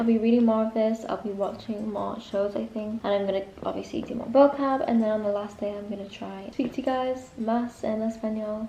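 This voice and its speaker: Speaking very fast with an English accent, a woman uses a fairly high pitch against noticeable background noise. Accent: English accent when speaking Spanish. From North of England. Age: young. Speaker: university student. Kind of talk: casual vlog talk to camera.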